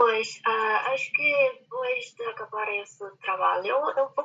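A woman is speaking. Her pace is very slow. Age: young. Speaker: graduate researcher. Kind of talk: roundtable discussion. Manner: halting.

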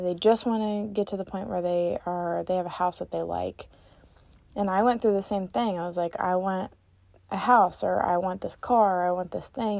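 A woman with a plain, everyday voice speaks at a moderate pace with fairly even intonation. The recording is very clean and the background silent. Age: 20s. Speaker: podcast host. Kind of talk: solo monologue.

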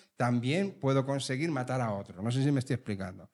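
Lively intonation runs through a plain, everyday voice, captured in a very clean recording with a silent background. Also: man. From Spain, Leganés (Madrid). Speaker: podcast host. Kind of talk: casual chat. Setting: recording with live audience.

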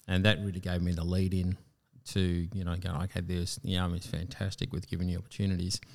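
In an Australian accent, a man talks at a very fast pace with a very deep, low pitch and monotone, flat intonation. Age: 50s. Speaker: military veteran and pilot. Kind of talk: interview. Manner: halting.

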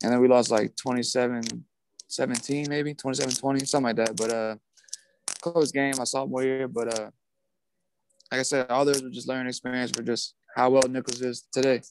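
A man at medium pitch, monotone and flat, fairly quick yet with long, frequent pauses. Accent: American. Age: 20s. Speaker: former college quarterback. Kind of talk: interview.

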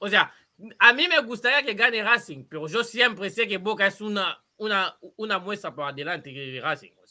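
With a raised, projected voice, a man speaks at a moderate pace and a high pitch, his bright, sharp tone carrying lively intonation and big swings in loudness. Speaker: football podcast host. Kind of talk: casual chat. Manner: halting, many repetitions.

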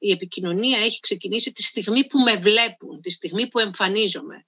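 The woman's tone is bright and sharp. She speaks at a moderate pace. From Greece, Karditsa. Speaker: voice and public speaking coach, soprano. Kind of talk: interview.

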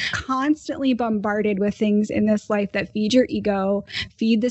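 This woman talks at a fairly quick pace in a fairly high, somewhat breathy voice, with ordinary pitch variation. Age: 30s. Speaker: podcast host. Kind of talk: casual interview.

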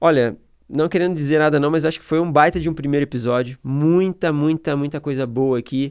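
At a fairly quick pace, a man with a plain, everyday voice and a fairly high pitch talks with fairly even intonation on a very clean recording with a silent background. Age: 30s. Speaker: podcast host. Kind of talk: casual chat.

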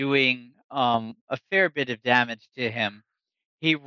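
In a natural reading voice with ordinary pitch variation, the speaker is heard over a quiet background.

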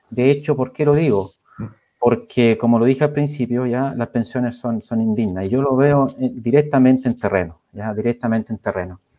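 In a dark, mellow tone, the voice moves at a moderate pace with ordinary pitch variation. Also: man, medium pitch for a man. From Chile, Coronel. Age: 40s. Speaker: political candidate. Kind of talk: panel interview.

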